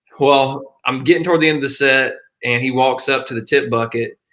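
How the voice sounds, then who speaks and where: A man speaks in a Southern US accent. His tone is bright and sharp, his pace moderate. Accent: Southern US (Georgia). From northeast Georgia, US South. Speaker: country musician. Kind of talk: casual chat.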